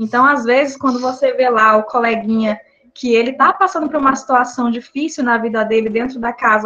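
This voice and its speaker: Her pitch varies in an ordinary way. The voice is a woman's, and it is high. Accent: slight Mato Grosso do Sul. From Brazil, Mato Grosso do Sul. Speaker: psychologist. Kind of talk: online talk.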